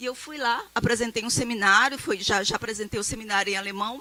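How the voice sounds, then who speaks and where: A woman with a fairly high pitch talks at a fairly quick pace with ordinary pitch variation. Background noise is noticeable. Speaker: professor. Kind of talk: lecture. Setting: stage with audience.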